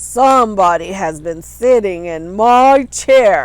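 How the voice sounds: In a put-on character voice, the speaker talks at a fairly slow pace with a middle pitch.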